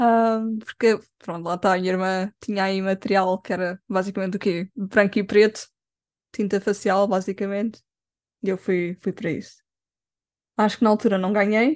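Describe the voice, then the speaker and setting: A woman's medium-pitched voice at a moderate pace, fairly even in intonation, with long, frequent pauses, in a dry, close sound with no echo. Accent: Lisbon. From Lisbon, Portugal. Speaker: cosplayer and makeup artist. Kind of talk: casual interview.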